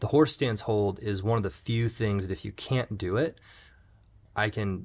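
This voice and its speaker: At a moderate pace, a plain, everyday voice speaks with ordinary pitch variation on a very clean recording with a silent background. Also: man. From Jacksonville, Florida. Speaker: podcast host, mountain bike coach. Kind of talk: casual interview.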